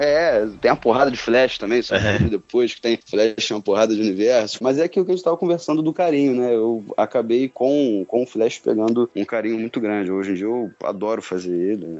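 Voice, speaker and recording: In a plain, everyday voice, a man speaks at a fairly quick pace and medium pitch, with lively intonation and hardly any pauses. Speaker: voice actor. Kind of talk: casual chat.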